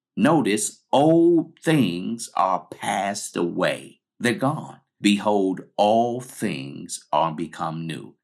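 A man with a fairly low pitch talks at a very slow pace, hardly pausing, and his pitch swings very widely. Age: 50s. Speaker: pastor and podcast host. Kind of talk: teaching sermon.

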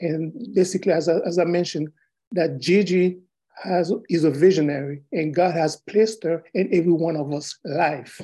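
This man has a high pitch and a dark, mellow tone. He moves at a moderate pace with ordinary pitch variation. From Haiti. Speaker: retired military veteran, minister. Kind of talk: testimony. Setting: video call.

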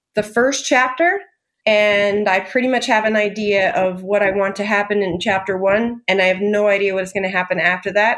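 Using ordinary pitch variation, a woman speaks with a Californian accent. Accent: General American (Californian). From Southern California (Tehachapi). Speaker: novelist. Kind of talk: casual interview chat.

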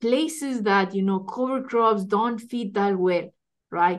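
A woman's fairly high voice in a Spanish accent, fairly slow, with ordinary pitch variation. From Ecuador. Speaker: soil scientist. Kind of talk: interview. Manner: halting, many fillers and repetitions.

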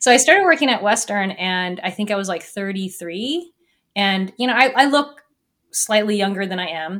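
In an unremarkable speaking voice, a woman talks at a moderate pace and medium pitch, with lively intonation and big swings in loudness. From US Northwest, small town in Washington. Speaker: physics lecturer and science podcast host. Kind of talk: interview podcast. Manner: casual, filler-heavy with frequent laughter.

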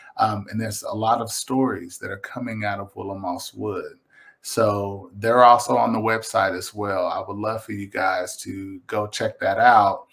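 A man talks with a Kentucky accent. He leaves hardly any pauses. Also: moderate pace, big swings in loudness. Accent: Kentucky Southern US. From Kentucky, Lexington. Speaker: visual artist. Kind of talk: casual interview. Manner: halting.

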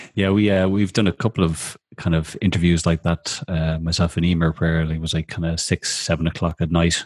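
On a very clean recording with a silent background, a man with an Irish accent speaks in a very deep, low pitch with monotone, flat intonation. His pace is moderate, and the sound is dry and close, with no echo. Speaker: radio host, social media strategist. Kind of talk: casual chat show interview; reading guest introduction.

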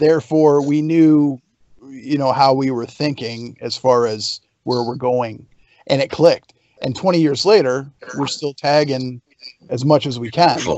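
An unremarkable speaking voice from a man, fairly high in pitch, at a fairly slow pace with fairly even intonation. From Canada. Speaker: pro wrestler. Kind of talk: casual chat.

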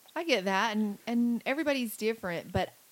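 A woman talks at a moderate pace, her intonation lively throughout. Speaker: podcast host. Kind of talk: casual interview. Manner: animated.

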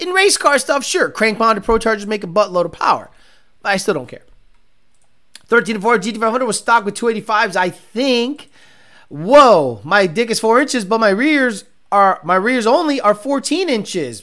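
Speaking at a moderate pace in a raised, projected voice, a man with a high pitch, a bright, sharp tone, an animated delivery and lively intonation is heard on a very clean recording with a silent background. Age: 40s. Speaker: car podcast host and racer. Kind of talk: casual chat.

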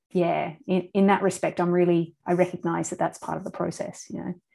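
On a very clean recording with a silent background, a woman with an Australian accent speaks at a moderate pace in a fairly low pitch with monotone, flat intonation. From Australia, country town. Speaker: artist. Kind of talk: interview.

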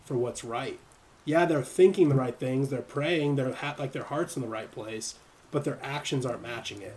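His voice is somewhat breathy, with ordinary pitch variation. The man speaks with an American accent. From US, San Diego. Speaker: podcast host. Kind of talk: casual chat. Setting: live stream.

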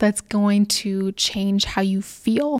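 There's no echo at all, just a dry, close sound on a very clean recording where the background is silent. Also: woman. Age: 20s. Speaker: dietitian and podcast host. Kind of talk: casual chat. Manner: animated. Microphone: new microphone.

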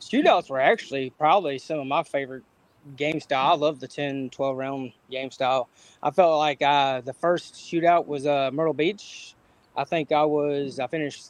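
With an ordinary speaking voice, a man talks at a moderate pace. His pitch is fairly high and his intonation fairly even. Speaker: cornhole player. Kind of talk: casual interview.

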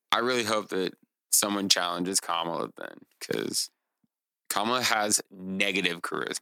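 A man's fairly low voice, bright and sharp in tone, with ordinary pitch variation and a moderate pace, in a dry, close sound with no echo. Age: 30s. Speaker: podcast co-host and guest. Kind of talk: casual chat.

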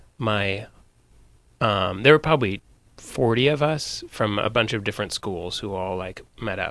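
A man with an American accent, a bright, sharp tone, a fairly low pitch and a fairly slow pace. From Northern California (Sonoma). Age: 40s. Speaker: actor. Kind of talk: casual interview chat.

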